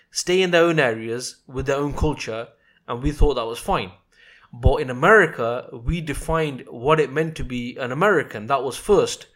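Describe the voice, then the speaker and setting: Against a very clean recording with a silent background, a man with a British accent and a fairly high pitch speaks at a moderate pace with ordinary pitch variation. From England. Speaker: podcast host. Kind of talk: podcast interview.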